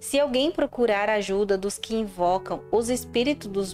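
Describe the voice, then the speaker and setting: Over music in the background, a woman speaks at a medium pitch with ordinary pitch variation. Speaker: Bible narrator. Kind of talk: audio Bible reading.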